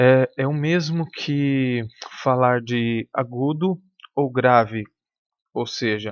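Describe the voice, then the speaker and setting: A man talks at a medium pitch with fairly even intonation. The background is quiet. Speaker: music teacher. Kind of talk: lecture. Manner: halting.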